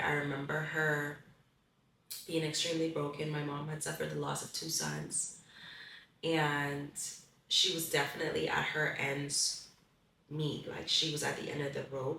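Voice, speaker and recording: A woman talks at a moderate pace with long, frequent pauses, and audible room echo surrounds her voice. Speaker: pageant contestant. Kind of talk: testimony. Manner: halting.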